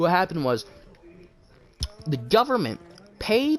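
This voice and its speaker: A man speaks quietly. His pace is moderate. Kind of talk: casual chat. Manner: halting.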